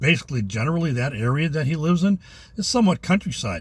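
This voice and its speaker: A man speaks in a somewhat breathy voice with lively intonation. The recording is very clean, with a silent background. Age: 60s. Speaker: retired vlogger. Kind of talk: casual vlog monologue. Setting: in a parked car. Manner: halting, many fillers.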